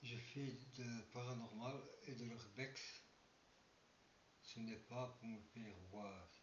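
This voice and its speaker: A man's medium-pitched, somewhat breathy voice at a very slow pace, with long, frequent pauses, fairly even intonation and audible room echo. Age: 60s. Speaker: paranormal and urbex youtuber. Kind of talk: casual vlog monologue. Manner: halting. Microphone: poor sound quality.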